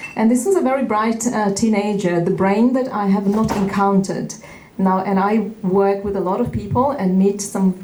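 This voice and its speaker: Amid noticeable background noise and audible room echo, a woman of medium pitch talks at a moderate pace with fairly even intonation. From Uzbekistan, Central Asia. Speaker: tech educator and activist. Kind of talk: keynote speech. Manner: halting, many fillers.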